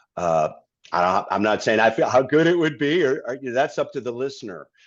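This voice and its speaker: Speech with an American accent and vocal fry moves at a fairly quick pace with very wide pitch swings. The background is quiet. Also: man, medium pitch for a man. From Massachusetts, US. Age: 60s. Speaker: singer-songwriter and guitarist. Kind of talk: interview conversation. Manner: halting, many fillers and repeats.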